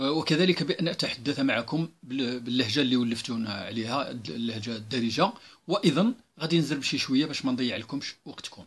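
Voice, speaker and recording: Speaking in a Moroccan accent, a man keeps a medium pitch with ordinary pitch variation. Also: moderate pace. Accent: Moroccan Arabic (Darija). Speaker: civil servant. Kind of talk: open letter monologue. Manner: hesitant with fillers.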